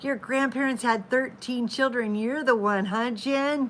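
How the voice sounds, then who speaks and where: A woman's voice with an American accent. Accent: southern drawl, comes back at times. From Oklahoma. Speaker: live-stream vlogger, mother of a large family. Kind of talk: casual chat. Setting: live stream at home. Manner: chatty.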